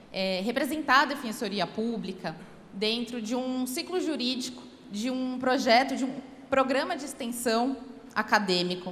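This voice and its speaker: A voice with ordinary pitch variation and a Paulista accent, heard over noticeable background noise with audible room echo. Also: woman, high pitch for a woman, moderate pace. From São Paulo, Brazil. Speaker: public defender. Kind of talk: speech at a law event.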